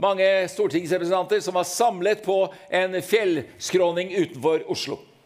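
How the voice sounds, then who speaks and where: A man with a high pitch and ordinary pitch variation, over noticeable background noise. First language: Norwegian. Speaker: conference host. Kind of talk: event hosting. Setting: stage with audience.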